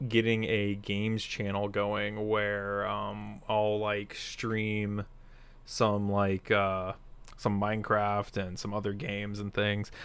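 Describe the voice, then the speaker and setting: A man's fairly low pitch at a very slow pace. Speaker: toy review streamer. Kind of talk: casual live stream gameplay chat. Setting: live stream. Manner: loud; halting, many fillers.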